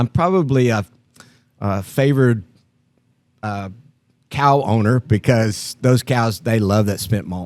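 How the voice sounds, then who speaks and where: The man's voice sits at a medium pitch with ordinary pitch variation. He talks at a fairly slow pace, and the sound is dry and close with no echo. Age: 60s. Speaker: brewery owner and brewer. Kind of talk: casual interview. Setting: beer garden, filling with people.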